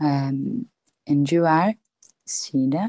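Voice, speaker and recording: Here the sound is dry and close, with no echo. A dark, mellow tone carries lively intonation. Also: woman. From Italy. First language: Italian. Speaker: audience member. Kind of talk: casual chat. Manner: halting.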